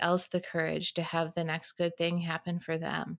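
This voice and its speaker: Delivered at a fairly quick pace, the voice has a dry, close sound with no echo. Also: woman. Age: 40s. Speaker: podcast host and life coach. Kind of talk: casual interview chat.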